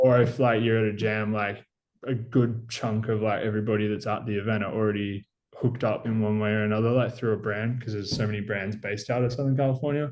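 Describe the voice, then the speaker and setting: A man with an Australian accent talks at a very fast pace, with medium pitch and monotone, flat intonation. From Australia, Gippsland, Victoria. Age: 20s. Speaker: BMX rider. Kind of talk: casual chat.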